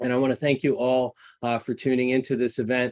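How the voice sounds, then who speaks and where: A man against a quiet background. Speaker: event host, professor. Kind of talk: event introduction. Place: office. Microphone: webcam.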